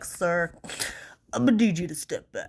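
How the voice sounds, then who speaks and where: In a put-on character voice, the speaker sounds nasal at a middle pitch and a moderate pace. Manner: sniffly, authoritative.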